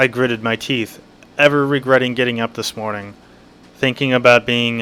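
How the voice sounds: Intonation stays fairly even throughout this natural reading voice.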